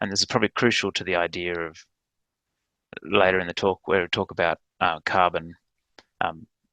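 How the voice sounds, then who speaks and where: A man with an Australian accent and a very deep, low pitch, fairly quick yet with long, frequent pauses, fairly even intonation, a bright, sharp tone, and a dry, close sound with no echo against a quiet background. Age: 40s. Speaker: ecologist and landholder. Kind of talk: presentation. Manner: halting, many fillers.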